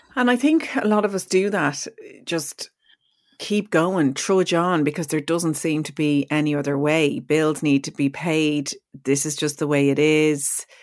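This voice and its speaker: Speaking in an Irish accent, a woman has a very deep, low pitch and ordinary pitch variation. She talks at a fairly slow pace on a very clean recording with a silent background. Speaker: podcast host and radio presenter. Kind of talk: interview conversation.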